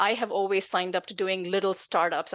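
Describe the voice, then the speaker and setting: A woman with a non-native accent speaks fairly quickly at a medium pitch, with monotone, flat intonation and a quiet background. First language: not English. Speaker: tech executive and author. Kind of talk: podcast interview.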